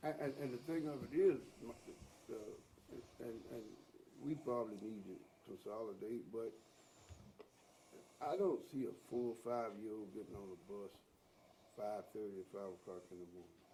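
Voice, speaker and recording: Using a dark, mellow tone, a man with an American accent speaks at a medium pitch and moderate pace, with ordinary pitch variation, big swings in loudness and long, frequent pauses. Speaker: school board member. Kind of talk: board meeting discussion.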